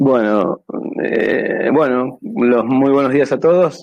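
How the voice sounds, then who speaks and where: At a very slow pace, a man speaks with medium pitch. His pitch varies in an ordinary way. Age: 60s. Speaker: amateur radio operator. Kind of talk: presentation. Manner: halting.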